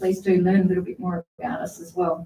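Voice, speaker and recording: In an Australian accent, a woman speaks at a fairly quick pace. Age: 30s. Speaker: council candidate. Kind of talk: candidate forum speech.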